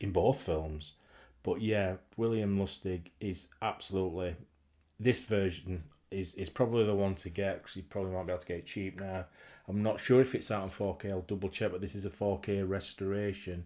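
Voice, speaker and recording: A man with a Yorkshire accent, fairly low-pitched with a dark, mellow tone, at a fairly quick pace, in a very clean recording with a silent background. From Yorkshire, England. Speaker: horror film collector and vlogger. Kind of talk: casual talk to camera. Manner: enthusiastic, rambling.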